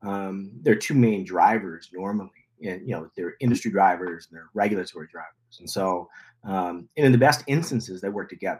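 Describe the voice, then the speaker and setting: A man with a fairly low pitch and an American accent talks at a fairly quick pace with hardly any pauses, big swings in loudness and ordinary pitch variation. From California. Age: 50s. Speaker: cannabis lab founder. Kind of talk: interview. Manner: halting.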